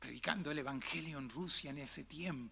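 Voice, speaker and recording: A bright, sharp tone at a moderate pace, with ordinary pitch variation and audible room echo. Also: man. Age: 60s. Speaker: pastor. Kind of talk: sermon. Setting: church.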